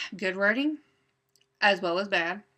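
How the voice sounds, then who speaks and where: This very clean recording has a silent background. A woman with an Appalachian accent talks at a medium pitch in a bright, sharp tone. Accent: Appalachian dialect, noticeable. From West Virginia. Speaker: writer and book publisher. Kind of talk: casual monologue.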